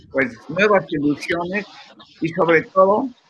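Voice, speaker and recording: Projecting his raised voice at a fairly slow pace, a man speaks with a high pitch and a bright, sharp tone. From Mexico. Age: 80s+. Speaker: comic book artist. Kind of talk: interview. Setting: video call.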